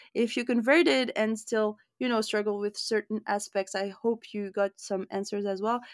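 A woman with an ordinary speaking voice talks at a moderate pace and fairly high pitch, varying it in an ordinary way. The sound is dry and close with no echo, a very clean recording with a silent background. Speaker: podcast host. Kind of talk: casual interview chat.

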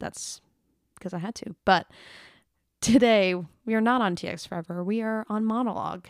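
A woman is speaking. The recording is very clean with a silent background, and the sound is dry and close with no echo. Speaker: podcaster and singer. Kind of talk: solo podcast, casual chat. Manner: casual, chatty, upbeat.

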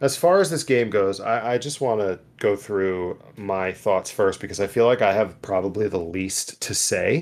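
In a very clean recording with a silent background, a man with an ordinary speaking voice talks at a moderate pace with hardly any pauses, a fairly low pitch and ordinary pitch variation. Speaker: podcast host. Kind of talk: casual chat.

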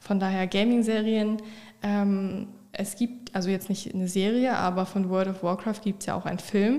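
This woman has a dark, mellow tone and a medium pitch. She talks at a moderate pace with monotone, flat intonation. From northern Germany, Oldenburg. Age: 20s. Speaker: streamer and content creator. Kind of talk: casual interview.

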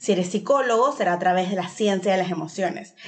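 Lively intonation from a woman at a medium pitch. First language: English (speaking Spanish). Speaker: preschool teacher and podcast host. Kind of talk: podcast introduction monologue.

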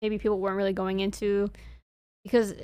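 Recorded very cleanly with a silent background, a woman speaks at a medium pitch in an American accent. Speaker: podcast co-host. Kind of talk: casual chat.

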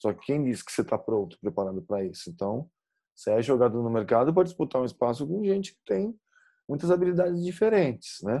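Over a quiet background, a man with a dark, mellow tone speaks at a fairly quick pace with very wide pitch swings. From Brazil, São Paulo state. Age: 40s. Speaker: sports psychologist. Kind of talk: interview conversation.

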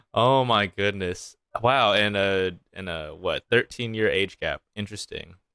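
A plain, everyday voice with an American accent speaks at a fairly slow pace with fairly even intonation. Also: man, fairly low pitch for a man. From US South, Arkansas. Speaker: comedian and podcast co-host. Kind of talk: casual chat.

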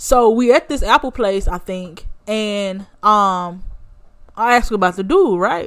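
On a very clean recording with a silent background, a woman speaks fairly slowly in an animated tone, at medium pitch with ordinary pitch variation. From Alabama, US South. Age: 20s. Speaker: podcast host. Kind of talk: casual storytelling monologue.

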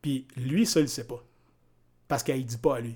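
A dark, mellow voice with fairly even intonation moves at a moderate pace in a very clean recording with a silent background. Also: man. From Quebec, Mauricie (Grand-Mère). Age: 40s. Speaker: fitness coach and entrepreneur. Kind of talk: casual interview conversation.

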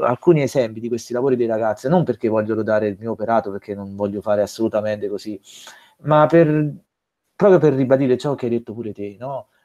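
A man speaks in a dark, mellow tone with ordinary pitch variation. The sound is dry and close, with no echo. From southern Italy, province of Salerno. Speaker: religion teacher. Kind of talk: podcast interview. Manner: halting, many fillers.

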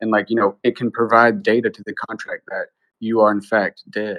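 With a dry, close sound free of echo and a quiet background, a man speaks at a moderate pace in a fairly low, flat monotone. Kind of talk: casual group discussion. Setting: online audio room.

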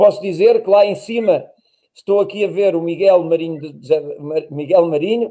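With a dark, mellow tone, a man speaks at a moderate pace with ordinary pitch variation. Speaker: podcast host, former runner. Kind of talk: casual chat.

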